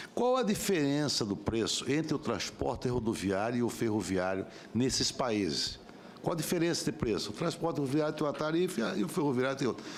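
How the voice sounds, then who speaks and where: Lively in intonation and very even in loudness, a man talks at a fairly quick pace with audible room echo. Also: medium pitch for a man. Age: 60s. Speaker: senator. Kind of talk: public hearing questioning. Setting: senate committee hearing.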